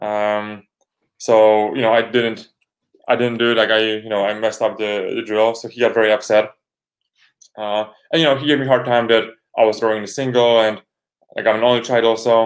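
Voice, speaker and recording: A man with a Polish accent speaks at a medium pitch and a fairly quick pace, with long, frequent pauses. His intonation is flat and monotone, and the recording is very clean with a silent background. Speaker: rower. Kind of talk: interview. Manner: halting.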